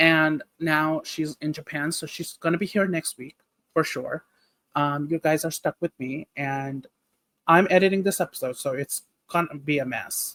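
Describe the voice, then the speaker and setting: The speaker has a non-native accent and a moderate pace, on a very clean recording with a silent background. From Nepal. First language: not English. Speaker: podcast co-host. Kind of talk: casual chat.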